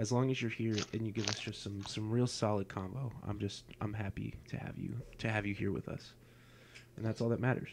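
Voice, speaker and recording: A man whispers quietly at a fairly quick pace. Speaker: podcast host. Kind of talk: casual chat. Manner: quiet, whisper-like. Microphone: sounds quiet on mic.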